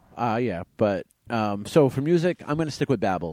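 Recorded very cleanly against a silent background, a man's dark, mellow voice sounds dry and close with no echo as he talks at a moderate pace. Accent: American. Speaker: podcast co-host. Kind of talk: casual chat.

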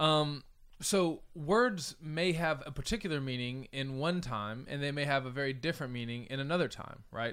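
With an ordinary speaking voice, a man talks at a moderate pace and a fairly high pitch, using ordinary pitch variation. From United States. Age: 30s. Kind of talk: casual discussion.

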